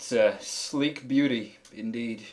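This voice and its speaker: A man does a hoarse put-on character voice at a medium pitch with fairly even intonation. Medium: actual play. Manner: smooth, charming.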